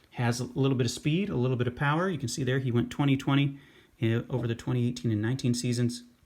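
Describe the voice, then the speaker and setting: A man's somewhat breathy, medium-pitched voice at a very fast pace, with ordinary pitch variation. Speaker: sports card and baseball prospect YouTuber. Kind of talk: casual talking-head commentary.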